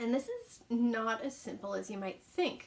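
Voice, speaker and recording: A woman's fairly high voice with ordinary pitch variation at a moderate pace, over noticeable background noise. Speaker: author and vlogger. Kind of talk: casual vlog talk. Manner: hesitant, says um a lot.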